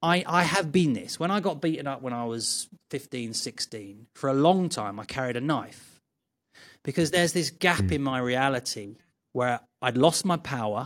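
In a very clean recording with a silent background, a man with an unremarkable speaking voice talks at a moderate pace, his fairly high pitch moving with lively intonation. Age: 50s. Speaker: martial arts teacher. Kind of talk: casual chat.

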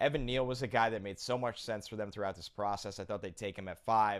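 In a very clean recording with a silent background, a man with a New Jersey accent talks at a fairly quick pace with ordinary pitch variation. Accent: New Jersey American. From New Jersey, US. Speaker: football draft analyst. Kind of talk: casual interview.

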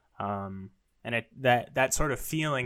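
A man speaks at a moderate pace, his medium-pitched voice showing ordinary pitch variation. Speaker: podcast co-host. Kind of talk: casual chat between brothers. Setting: video call recording.

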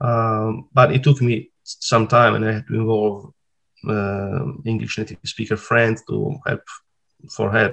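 Here a man speaks with an Italian accent. His pace is fairly slow and his intonation fairly even. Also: medium pitch for a man. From Italy (Sardinia). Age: 40s. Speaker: retro game simulator programmer. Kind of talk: interview. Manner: halting.

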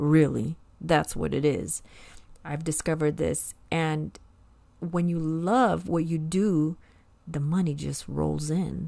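In an American accent, a woman with a very deep, low pitch and a dark, mellow tone speaks very slowly with ordinary pitch variation on a very clean recording with a silent background. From US (moved from Brazil at age six). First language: Portuguese. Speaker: ESL teacher and podcast host. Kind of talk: solo educational podcast monologue. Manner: deliberately paced for learners.

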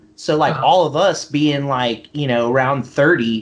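With an American accent, a man talks in a normal speaking voice at a moderate pace, his pitch varying in an ordinary way. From US South, Mississippi Gulf Coast. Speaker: business founder. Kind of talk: casual chat.

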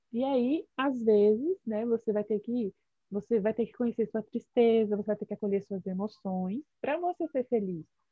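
With an unremarkable speaking voice, a woman speaks at a fairly high pitch and moderate pace, showing ordinary pitch variation. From Brasília, Brazil. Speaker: psychologist. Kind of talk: radio interview.

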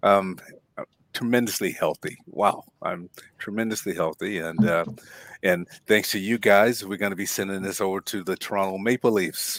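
A man speaks in an unremarkable speaking voice at a fairly low pitch. He keeps a moderate pace and fairly even intonation. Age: 60s. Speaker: health podcast co-host. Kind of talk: casual chat.

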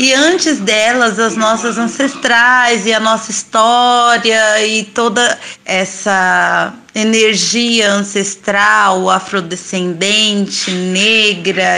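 A woman's fairly high, bright, sharp voice at a very slow pace with fairly even intonation. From São Paulo periphery, Brazil. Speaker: food entrepreneur.

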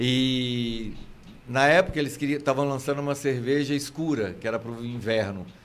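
With a Minas Gerais accent, a man speaks at a moderate pace in a medium pitch with ordinary pitch variation. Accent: mineiro Brazilian Portuguese. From Minas Gerais countryside, Brazil. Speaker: theatre actor and comedian. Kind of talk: casual interview chat.

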